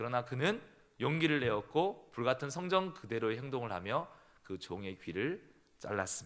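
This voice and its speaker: Pitch swings very widely as a man speaks with a slight southern Korean accent. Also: medium pitch for a man, moderate pace. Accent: trace of southern regional Korean speech. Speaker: pastor. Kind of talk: sermon.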